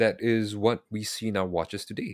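Recorded very cleanly with a silent background and a dry, close sound with no echo, a man has a plain, everyday voice with a fairly low pitch. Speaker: podcast host. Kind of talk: casual chat. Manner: casual, bantering.

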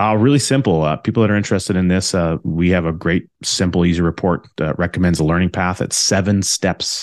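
In a Canadian accent, a man with a very deep, low pitch and ordinary pitch variation speaks at a fairly quick pace and very even loudness, the sound dry and close with no echo over a quiet background. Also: hardly any pauses. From Alberta, Canada. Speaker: infinite banking advisor, former realtor. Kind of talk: interview. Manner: hesitant, many fillers.

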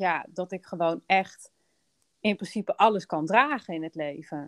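A woman with a fairly low pitch speaks in a normal speaking voice at a fairly slow pace, with ordinary pitch variation, in a dry, close sound with no echo over a quiet background. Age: 30s. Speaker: business coach and podcast host. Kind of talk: casual chat.

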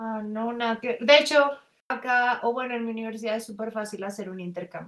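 A woman with a Colombian accent, fairly high-pitched and fairly quick, with big swings in loudness. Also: fairly even intonation. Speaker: exchange student. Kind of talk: casual chat.

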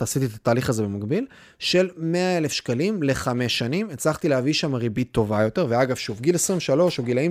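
On a very clean recording with a silent background, a man speaks at a fairly high pitch with lively intonation. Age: young. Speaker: podcast host. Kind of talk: solo podcast monologue. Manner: fast.

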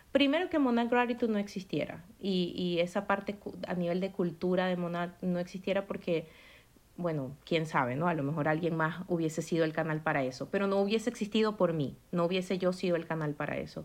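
This woman has a normal speaking voice, fairly low in pitch, moving at a fairly quick pace with ordinary pitch variation. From Maracaibo, Venezuela. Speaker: entrepreneur. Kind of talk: casual chat.

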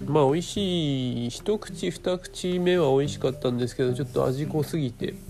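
Fairly high-pitched male voice at a moderate pace, with ordinary pitch variation, hardly any pauses and noticeable background noise. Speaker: solo podcaster with a day job. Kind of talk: casual solo monologue. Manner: halting, many fillers.

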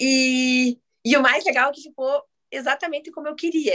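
The voice belongs to a woman with a high pitch. Her pitch varies in an ordinary way. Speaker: photographer. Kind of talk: casual chat.

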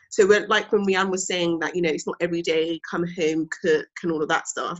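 A woman with a fairly low pitch speaks in a monotone, flat intonation. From London (Brent). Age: 20s. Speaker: teacher and podcast host. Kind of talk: casual chat.

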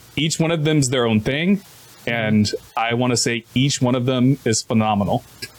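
Over noticeable background noise, a man speaks at a medium pitch with very even loudness. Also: ordinary pitch variation, moderate pace. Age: 30s. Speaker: anime review podcast co-host. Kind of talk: casual chat.

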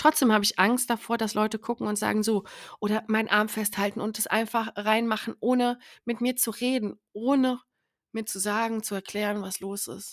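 A woman's fairly high voice, monotone and flat, at a moderate pace, on a very clean recording with a silent background and a dry, close sound with no echo. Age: 30s. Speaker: podcast host, abuse survivor advocate. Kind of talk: personal monologue. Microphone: new better microphone.

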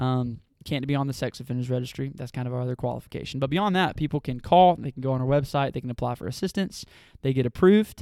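Very fast speech from a man with a Southern US accent, very clean recording with a silent background. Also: medium pitch for a man, ordinary pitch variation. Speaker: nonprofit staff member. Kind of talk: casual interview.

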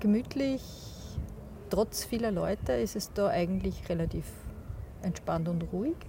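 Pausing often and at length, a woman speaks at a fairly slow pace. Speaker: co-host, photographer. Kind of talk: casual chat. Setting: outdoors on a park bench.

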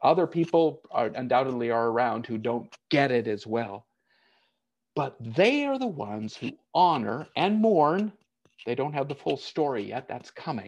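Against a quiet background, a man with an unremarkable speaking voice talks at medium pitch, fairly slowly and with lively intonation, in an American accent. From United States. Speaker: pastor. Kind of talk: sermon. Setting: online church service.

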